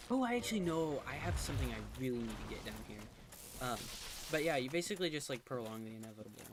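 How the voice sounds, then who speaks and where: A quiet man at a very fast pace, with audible room echo. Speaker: gaming streamer. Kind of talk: casual chat. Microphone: too far from the mic.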